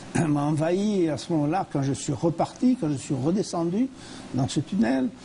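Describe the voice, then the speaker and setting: A man's pitch swings very widely as he talks against noticeable background noise. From France. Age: 80s+. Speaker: near-death experience survivor and speaker. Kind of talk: TV interview testimony. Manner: halting, with repetitions and hesitations.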